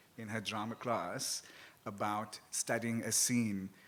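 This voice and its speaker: An animated man's voice at medium pitch, with noticeable background noise. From South Africa, Cape Flats. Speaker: writer and columnist. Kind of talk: live panel discussion. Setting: live event with audience.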